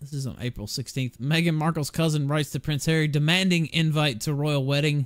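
A man with a Southern US accent, fairly high in pitch, at a fairly quick pace, with fairly even intonation. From US South. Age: adult, 20s or older. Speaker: livestream talk show host. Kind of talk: casual livestream chat.

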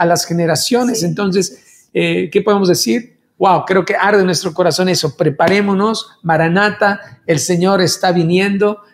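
A man speaks at a high pitch and a moderate pace. He uses hardly any pauses. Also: ordinary pitch variation, very even loudness. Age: 50s. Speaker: worship leader; pastor, podcast host. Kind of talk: casual chat. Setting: video call. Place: studio.

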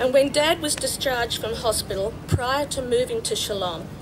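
Speech moves at a moderate pace over noticeable background noise. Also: woman. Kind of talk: formal speech. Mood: warm, reminiscent. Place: open country.

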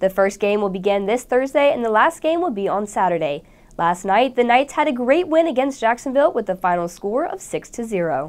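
A woman with a fairly high voice speaks at a fairly quick pace, pitch swinging very widely, with hardly any pauses. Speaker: student news anchor. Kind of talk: news reading. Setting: studio. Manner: formal; steady, polished broadcast delivery. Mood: bright, friendly. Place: studio.

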